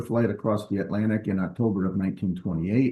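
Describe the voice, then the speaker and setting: In a New York accent, the speaker moves at a fairly quick pace with ordinary pitch variation. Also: man. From New York, US. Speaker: stamp collector presenting a talk. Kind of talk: presentation lecture. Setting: video call. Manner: hesitant with frequent ums.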